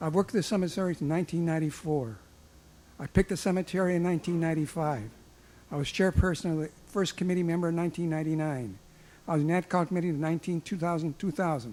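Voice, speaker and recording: A dark, mellow tone at a very fast pace, with ordinary pitch variation. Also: man, high pitch for a man. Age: 80s+. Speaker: veteran, public commenter. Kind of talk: public comment at board meeting. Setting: public board meeting. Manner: halting.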